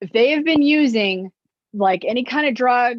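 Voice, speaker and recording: Loud woman's voice with lively intonation. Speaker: nurse educator on violence prevention. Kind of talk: lecture.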